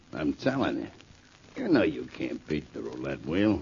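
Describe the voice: A man puts on a character voice at an extremely low pitch, slightly mellow in tone with vocal fry. He speaks at a moderate pace with big pitch swings.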